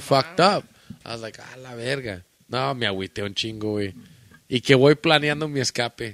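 A man with an American accent and lively intonation, in dry, close sound with no echo. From Michoacán, Mexico, then Chicago area. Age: 30s. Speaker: podcast guest. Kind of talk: casual chat.

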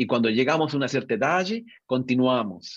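At a moderate pace, a man speaks in a normal speaking voice with medium pitch and ordinary pitch variation. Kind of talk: interview conversation.

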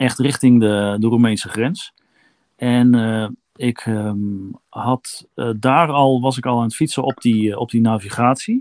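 A man with fairly even intonation at a very slow pace, in a dry, close sound with no echo. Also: medium pitch for a man, very clean recording, silent background. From eastern Netherlands, Kampen. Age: 50s. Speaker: long-distance cyclist. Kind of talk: interview, casual chat. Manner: halting, many filler words.

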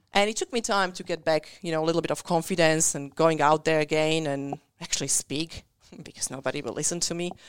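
A woman with a non-native accent speaks at a very fast pace in a very deep, low pitch. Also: ordinary pitch variation. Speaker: business owner and speaker. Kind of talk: casual chat.

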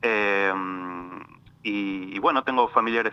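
Speaking very slowly, a man has a fairly low pitch and a bright, sharp tone. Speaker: lawyer specialising in European citizenship. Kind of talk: interview. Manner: halting.

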